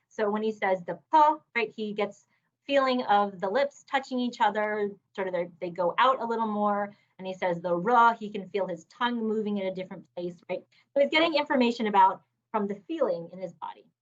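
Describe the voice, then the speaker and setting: A woman speaks at a medium pitch and a fairly quick pace. Her pitch variation is ordinary. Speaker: neuroscience professor. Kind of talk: lecture.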